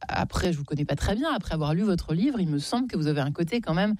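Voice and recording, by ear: A woman's fairly low, slightly mellow voice, fast-paced with lively intonation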